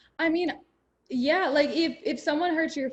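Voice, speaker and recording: The speaker is a woman. Her pitch moves in an ordinary way. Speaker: radio host. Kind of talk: interview. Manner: fast.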